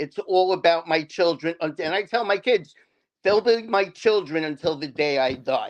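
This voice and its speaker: The speaker has a New York accent and talks at a moderate pace. Pitch varies in an ordinary way against a quiet background. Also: man. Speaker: divorced father, show guest. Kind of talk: interview. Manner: halting, many fillers.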